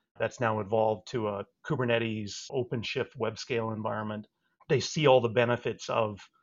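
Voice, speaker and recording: Vocal fry from a man at medium pitch, with fairly even intonation. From Saskatchewan, Canada. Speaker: telecom company CEO. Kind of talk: interview.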